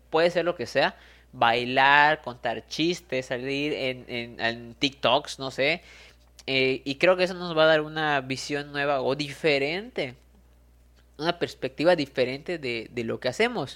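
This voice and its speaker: The background is silent and the recording very clean. Words come at a fairly slow pace. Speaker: motivational podcaster. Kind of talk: motivational monologue.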